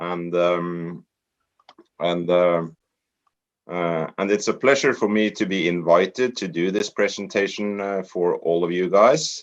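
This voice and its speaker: With a Norwegian accent, a man speaks at a very deep, low pitch and with fairly even intonation. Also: fairly slow pace. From Norway. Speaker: network marketer. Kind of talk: training presentation. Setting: online group call.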